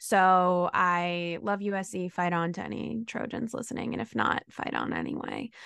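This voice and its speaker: Speaking in an ordinary speaking voice with an American accent, a woman keeps a medium pitch, lively intonation and a moderate pace with hardly any pauses. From New York City. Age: 20s. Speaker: content creator and chronic illness advocate. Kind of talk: podcast interview.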